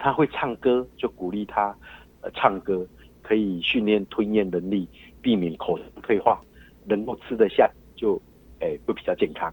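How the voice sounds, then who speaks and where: A man leaves long, frequent pauses while keeping a moderate pace overall. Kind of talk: phone interview. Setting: phone call. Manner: hesitant, many fillers.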